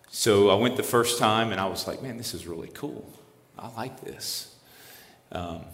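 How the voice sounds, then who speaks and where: Audible room echo surrounds a man with an American accent talking at a moderate pace. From South Louisiana, Lafayette (Cajun area). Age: 50s. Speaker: campus ministry missionary. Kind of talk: interview testimony.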